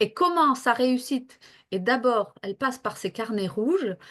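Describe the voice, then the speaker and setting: Lively intonation marks this woman's fairly slow delivery. Her background is quiet. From northern France near Belgium. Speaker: health professional and coach. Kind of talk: interview. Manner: hesitant, many fillers.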